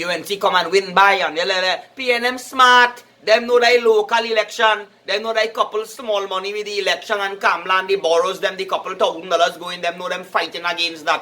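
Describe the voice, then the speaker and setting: A man's raised, projected voice with a Trinidadian accent, high in pitch, fairly quick and fairly even in intonation, over noticeable background noise. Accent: Trinidadian Creole English. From Trinidad and Tobago. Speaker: political commentator. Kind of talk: casual political talk. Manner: halting, repetitive.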